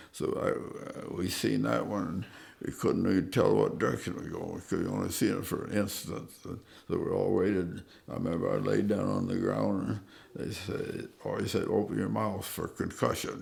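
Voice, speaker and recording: A man at a moderate pace amid audible room echo. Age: 90s. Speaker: war veteran. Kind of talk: oral history interview. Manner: halting, many fillers and repeats.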